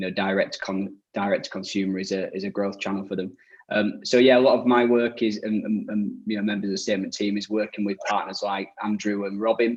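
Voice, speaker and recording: A man with a fairly low pitch talks very fast in a monotone, flat delivery. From northern England, Leeds. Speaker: e-commerce agency director. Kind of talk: webinar panel discussion.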